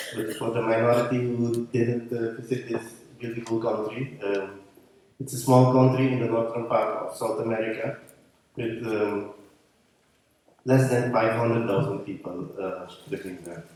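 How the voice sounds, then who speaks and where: There is audible room echo as a man speaks at a moderate pace and medium pitch, with fairly even intonation and long, frequent pauses. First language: Dutch. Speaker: conference speaker. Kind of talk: conference talk. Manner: halting.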